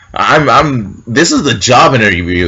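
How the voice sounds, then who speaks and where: A man with an American accent speaks at a medium pitch in an animated tone. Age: 20s. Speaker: military recruit vlogger. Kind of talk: casual vlog storytelling. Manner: loud.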